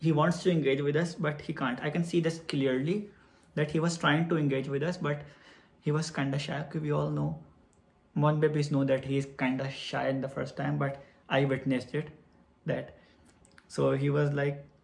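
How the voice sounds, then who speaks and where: The man's voice is fairly high and somewhat breathy, with monotone, flat intonation. He keeps a moderate pace, with long, frequent pauses. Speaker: vlogger. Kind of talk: storytelling vlog.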